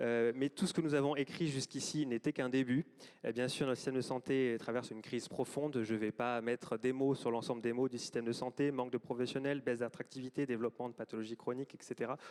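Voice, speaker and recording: Speech comes at a very fast pace with monotone, flat intonation. The sound is dry and close, with no echo. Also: man, medium pitch for a man. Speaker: government health official. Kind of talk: closing speech. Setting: auditorium with audience. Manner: hesitant, many fillers.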